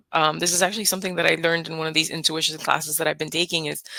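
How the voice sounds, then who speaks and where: A woman with a Spanish accent talks very fast in a fairly low, bright and sharp voice, her intonation flat and monotone. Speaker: nurse and hypnotist. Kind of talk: casual interview. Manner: calm, soothing.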